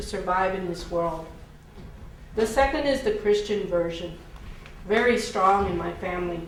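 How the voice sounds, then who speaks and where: Both audible room echo and noticeable background noise surround a woman speaking with an American accent. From Houston, Texas. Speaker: minister. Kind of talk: scripted monologue in stage performance.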